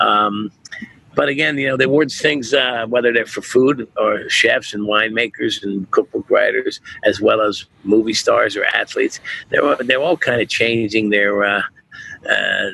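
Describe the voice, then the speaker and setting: A man talks at a moderate pace. The sound is dry and close with no echo, with noticeable background noise. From New Jersey (born Brooklyn). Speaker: chef and restaurateur. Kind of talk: podcast interview. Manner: halting, with many restarts.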